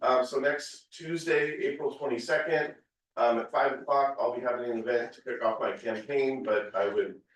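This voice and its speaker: An ordinary speaking voice from a man with fairly high pitch, a moderate pace, and fairly even intonation. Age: 40s. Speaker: political candidate. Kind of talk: public announcement.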